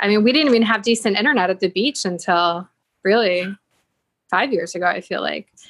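A woman with a Great Lakes accent speaks at a fairly quick pace. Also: medium pitch for a woman, ordinary pitch variation. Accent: American, Great Lakes. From US, Buffalo, New York. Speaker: real estate business owner. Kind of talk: interview.

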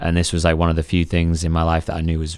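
The recording is very clean, with a silent background. A man speaks in a very deep, low pitch with a Mancunian accent. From England, Manchester area (Sale). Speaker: personal trainer. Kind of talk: casual interview conversation.

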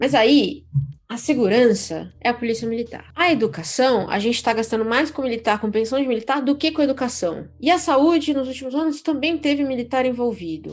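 A woman with a high pitch speaks at a fairly quick pace. Her intonation is lively. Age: 30s. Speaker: podcast host. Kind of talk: casual chat.

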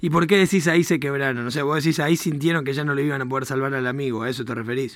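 Noticeable background noise sits behind a man with a fairly high pitch. He talks at a very fast pace with ordinary pitch variation. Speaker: radio host. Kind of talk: radio talk show interview. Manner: animated.

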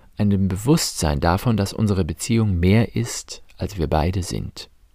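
A man talks at a fairly slow pace with lively intonation and a dark, mellow tone. The recording is very clean, with a silent background. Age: 40s. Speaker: priest and podcast host on relationships. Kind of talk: scripted monologue.

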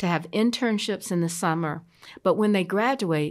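A woman with an American accent speaks at a moderate pace in an unremarkable speaking voice. The recording is very clean with a silent background. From US South, Columbia, South Carolina. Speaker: city mayor. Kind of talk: interview.

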